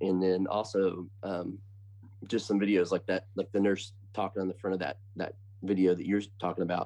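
Speaking at a moderate pace with an American accent, a man has a fairly low pitch and a dark, mellow tone. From US Midwest (Bloomington, Indiana). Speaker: country singer-songwriter. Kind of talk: casual chat. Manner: halting.

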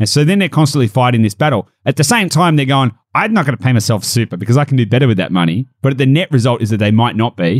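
In an Australian accent, a man at medium pitch talks at a very fast pace with hardly any pauses, lively intonation and very even loudness, in a dry, close sound with no echo. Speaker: property and business podcast host. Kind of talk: casual chat.

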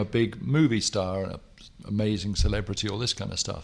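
A man with an English accent, fairly low pitch, ordinary pitch variation, and moderate pace on a very clean recording with a silent background. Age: 60s. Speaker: writer. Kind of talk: casual chat.

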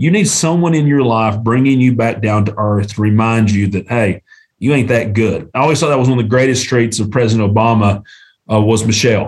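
With an Appalachian accent, a man talks at a fairly quick pace. His pitch sits in the medium range. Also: ordinary pitch variation. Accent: US Southern (Appalachian North Carolina). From Western North Carolina (Canton). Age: 40s. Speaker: small-town mayor and lawyer. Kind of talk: interview conversation. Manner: animated.

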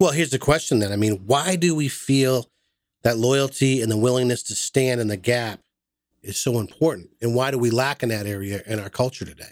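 Here is a man with an ordinary speaking voice and an American accent. He talks at a fairly quick pace in a medium pitch, with ordinary pitch variation. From Massachusetts. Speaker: podcast host. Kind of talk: casual chat.

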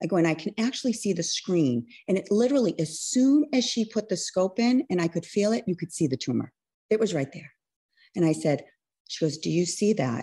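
Against a quiet background, a woman talks at a fairly quick pace in a dark, mellow, somewhat breathy voice with very wide pitch swings. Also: medium pitch for a woman. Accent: American. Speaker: registered nurse, cancer survivor. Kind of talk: testimony.

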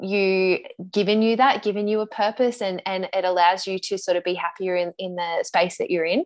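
A woman with an Australian accent speaks at medium pitch and a moderate pace. Her intonation is fairly even, over a quiet background. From Australian city. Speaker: podcast host and business coach. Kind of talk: casual interview.

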